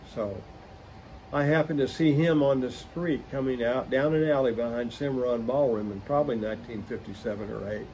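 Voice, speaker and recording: Delivered at a moderate pace with ordinary pitch variation, this voice has an American accent and audible room echo. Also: man. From Oklahoma, West Tulsa County. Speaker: musician and collector. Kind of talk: interview storytelling.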